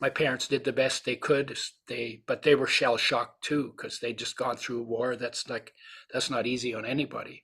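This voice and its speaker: A man talks at a moderate pace in a bright, sharp tone. His intonation is monotone and flat. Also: medium pitch for a man. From Europe. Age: 80s+. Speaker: nutrition author and supplement founder. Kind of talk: interview.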